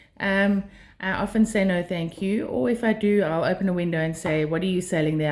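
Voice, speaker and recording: A woman with a South African accent speaks fairly quickly at a medium pitch on a very clean recording with a silent background. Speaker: life skills vlogger. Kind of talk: monologue to camera. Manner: hesitant, many fillers.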